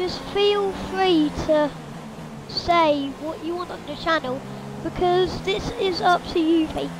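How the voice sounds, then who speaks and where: Set against noticeable background noise, a woman speaks at a very slow pace with an extremely high pitch and ordinary pitch variation. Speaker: gamer. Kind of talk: casual gameplay commentary. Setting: home, speaking into a mic while gaming. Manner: animated, excitable.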